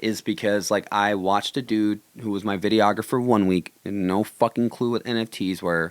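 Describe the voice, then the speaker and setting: A man at a moderate pace, fairly low in pitch. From New York (Buffalo), Puerto Rican family. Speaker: street artist. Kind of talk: casual chat. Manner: animated; blunt.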